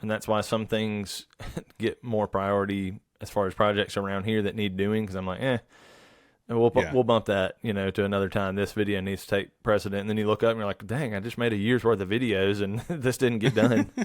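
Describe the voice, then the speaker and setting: In a Southern US accent, a man speaks at a fairly low pitch with fairly even intonation. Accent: Southern US drawl. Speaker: woodworker and furniture maker. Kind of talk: podcast interview answer.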